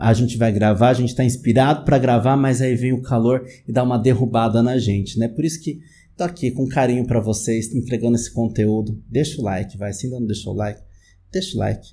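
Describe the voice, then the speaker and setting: A man with a São Paulo accent talks at a fairly quick pace in a medium pitch, his tone dark, mellow and somewhat breathy. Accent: São Paulo Brazilian Portuguese. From Greater São Paulo, Brazil. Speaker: psychologist, YouTube host. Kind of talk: casual educational talk to camera. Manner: conversational, many fillers (né).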